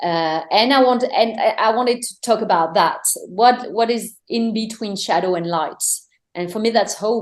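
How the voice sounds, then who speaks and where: A woman with a French accent, fairly high pitched, with ordinary pitch variation at a moderate pace. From France. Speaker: singer-songwriter. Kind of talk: interview. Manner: halting, many fillers and repetitions.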